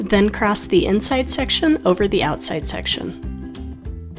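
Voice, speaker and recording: Music sits in the background. A woman speaks at a fairly slow pace. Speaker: hair stylist. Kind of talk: hair tutorial instruction.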